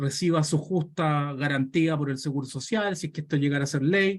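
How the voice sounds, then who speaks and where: At a moderate pace, a man with a Chilean accent speaks with ordinary pitch variation. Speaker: pension economist. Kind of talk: Q&A answer in online talk.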